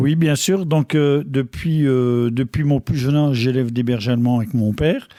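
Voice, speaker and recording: The man's tone is dark and mellow. His loudness stays very even. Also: medium pitch for a man, ordinary pitch variation, moderate pace. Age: 60s. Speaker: dog breeder. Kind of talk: radio interview.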